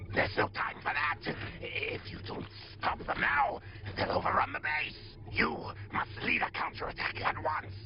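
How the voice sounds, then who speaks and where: A man speaks in a cartoonish character voice at a moderate pace, his pitch fairly high. Loud background noise runs underneath. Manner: haughty, scornful.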